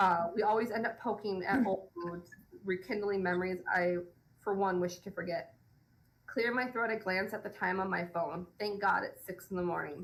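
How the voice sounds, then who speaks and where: A woman's medium-pitched voice at a moderate pace, with fairly even intonation. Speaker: romance author. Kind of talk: reading aloud. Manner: occasional stumbles while reading.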